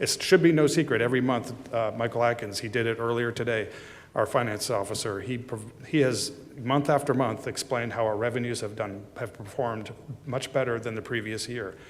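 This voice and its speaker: The pace is fairly quick and the intonation fairly even. There is audible room echo. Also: man, medium pitch for a man. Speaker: city manager presenting budget. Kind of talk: budget presentation at council meeting. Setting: city council chambers. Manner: fast.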